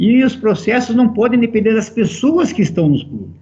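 At a moderate pace, a man speaks with a dark, mellow tone and a high pitch. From Brazil, São Paulo state (Americana). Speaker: football executive. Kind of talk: interview.

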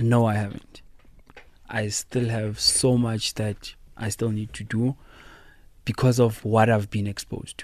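Over a silent background in a very clean recording, a man with a South African accent speaks fairly slowly at a medium pitch, in a flat monotone with long, frequent pauses. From South Africa, Thembisa. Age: 20s. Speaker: DJ and producer. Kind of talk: interview. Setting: studio.

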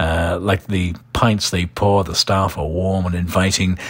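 A man with an English accent talks in a monotone, flat intonation over noticeable background noise. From London, England (Irish family, some childhood in Ireland). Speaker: podcast host, local events and bar recommendations. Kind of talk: casual recommendation talk. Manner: conversational with frequent fillers (uh, um).

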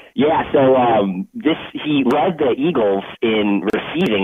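A man's pitch swings very widely against noticeable background noise. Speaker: caller. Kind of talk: casual sports talk. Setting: phone call.

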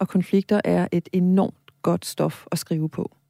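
A woman's very slow speech, dark and mellow in tone, with fairly even intonation, a dry, close sound without echo, and a very clean recording over a silent background. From Greenland. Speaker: novelist. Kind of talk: interview. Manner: hesitant, many filler sounds.

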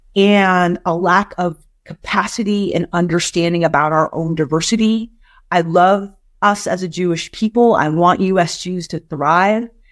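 Speaking with an American accent, a woman in a plain, everyday voice keeps a fairly low pitch, a moderate pace and fairly even intonation. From US West Coast, San Francisco. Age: 50s. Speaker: nonprofit executive. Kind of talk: interview. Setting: remote interview from her office.

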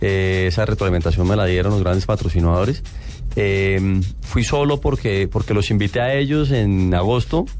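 The speech moves at a moderate pace with ordinary pitch variation and very even loudness. Noticeable background noise runs underneath. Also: man, fairly low pitch for a man. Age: 30s. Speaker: rally motorcycle rider. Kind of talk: radio interview.

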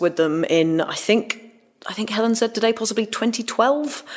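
A plain, everyday voice of a woman at a moderate pace, with ordinary pitch variation. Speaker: trumpet soloist. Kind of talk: casual interview chat.

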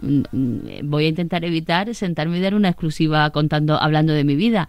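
Her voice fairly low in pitch, a woman speaks at a fairly quick pace with ordinary pitch variation in an unremarkable speaking voice. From Andalusia, Sanlúcar de Barrameda. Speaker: TV presenter. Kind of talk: casual interview chat.

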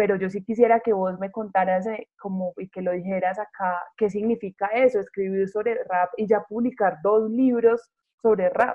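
Here is a normal speaking voice from a woman at medium pitch. She keeps a moderate pace with fairly even intonation. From provincial Colombia. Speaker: radio host. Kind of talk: radio interview.

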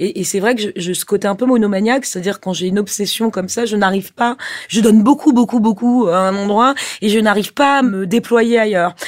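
At a fairly quick pace, a woman talks in a fairly high pitch with fairly even intonation. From Corsica. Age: 40s. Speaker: film producer. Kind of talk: interview. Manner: halting.

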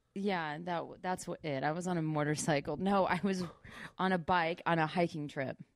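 A normal speaking voice from a woman, fairly low in pitch, on a very clean recording with a silent background. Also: moderate pace. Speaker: actress. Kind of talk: casual chat. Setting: studio. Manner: giggly, upbeat.

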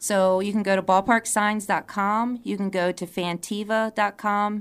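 On a very clean recording with a silent background, a woman with an American accent talks at a moderate pace in an unremarkable speaking voice of medium pitch, her intonation fairly even. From Virginia, Charlottesville. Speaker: small business owner. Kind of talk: radio interview.

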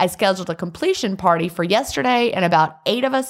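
The intonation is lively here. It is plain reading aloud.

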